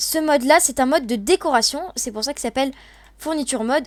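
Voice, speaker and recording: Ordinary pitch variation marks a woman talking at a very fast pace. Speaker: gaming YouTuber. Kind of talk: gameplay tutorial. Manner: halting, stammering.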